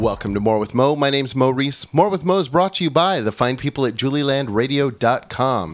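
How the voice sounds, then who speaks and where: With lively intonation and a fairly quick pace, a man talks in a plain, everyday voice at a medium pitch. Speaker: podcast host. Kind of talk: casual banter interview. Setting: studio.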